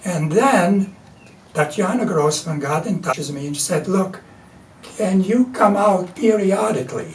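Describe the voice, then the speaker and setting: With a Latvian accent, a man with a high pitch and ordinary pitch variation speaks at a fairly slow pace over noticeable background noise. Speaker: artist and printmaker. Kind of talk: interview. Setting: studio.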